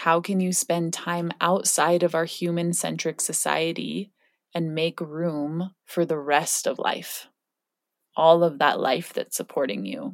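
In a very clean recording with a silent background, a woman with a normal speaking voice talks fairly slowly at a fairly low pitch with ordinary pitch variation. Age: 30s. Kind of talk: reflective solo podcast talk.

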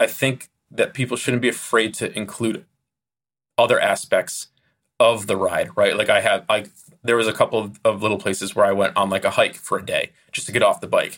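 The recording is very clean, and the background is silent. A man talks at a fairly quick pace. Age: 30s. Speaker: motorcycle filmmaker. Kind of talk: casual interview.

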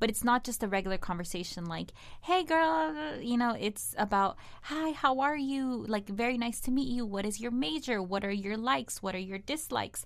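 A woman speaks in a Spanish accent at a moderate pace. Her fairly high pitch makes very wide swings. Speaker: digital content producer and entertainment journalist. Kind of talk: casual interview chat.

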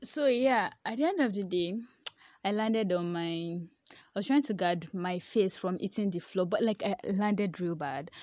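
A woman with a Nigerian accent and lively intonation, in a very clean recording with a silent background. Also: medium pitch for a woman, moderate pace. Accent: Nigerian (Yoruba) English. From Nigeria, Ibadan. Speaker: newsletter writer. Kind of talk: casual monologue. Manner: halting.

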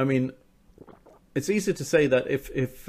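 This is an ordinary speaking voice at a moderate pace. The recording is very clean, with a silent background. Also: man. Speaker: author. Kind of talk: casual interview.

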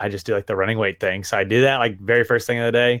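A man with a Southern US accent speaks at a medium pitch with fairly even intonation. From Arkansas, US South. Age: 30s. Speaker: personal trainer. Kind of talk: casual chat.

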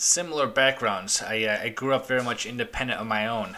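Against noticeable background noise, a man with an American accent speaks at a fairly quick pace and medium pitch. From Chicago. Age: 40s. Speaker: podcast host. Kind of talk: interview conversation. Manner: hesitant, many fillers.

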